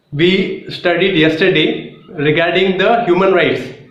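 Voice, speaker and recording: Noticeable background noise and audible room echo come through in the recording. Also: man. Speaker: exam coaching YouTuber. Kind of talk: lecture. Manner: halting, with fillers.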